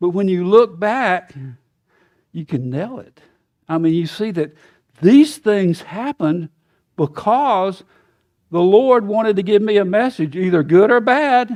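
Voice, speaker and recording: A man with an American accent speaks at a high pitch. He goes at a fairly slow pace with long, frequent pauses. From US South. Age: 70s. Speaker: guest preacher. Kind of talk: sermon. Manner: conversational, folksy.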